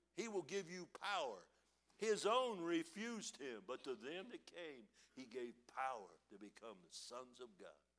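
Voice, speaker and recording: A high-pitched man speaks at a moderate pace, his voice making very wide pitch swings and big swings in loudness. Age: 60s. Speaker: preacher. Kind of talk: sermon. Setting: church.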